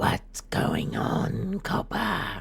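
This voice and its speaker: A man puts on a character voice. Clear background noise can be heard. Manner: mock-sinister, playful.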